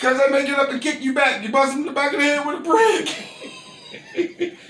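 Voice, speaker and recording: A man speaks at an extremely high pitch and a moderate pace, animated in tone with lively intonation. Noticeable background noise can be heard. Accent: American. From Gary, Indiana, US Midwest. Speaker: interviewee, caterer. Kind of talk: casual interview, storytelling. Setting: at home.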